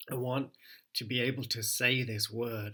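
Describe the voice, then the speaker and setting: The recording is very clean with a silent background, and the man's tone is bright and sharp. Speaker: spoken word poet, creative writing coach. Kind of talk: improvised spoken word poem.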